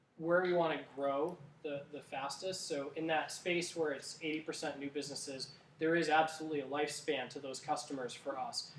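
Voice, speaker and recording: Fairly quick speech with fairly even intonation is heard through audible room echo and noticeable background noise. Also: man, fairly high pitch for a man. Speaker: startup co-founder giving a talk. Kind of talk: talk with audience Q&A. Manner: fast; hesitant, many fillers and restarts.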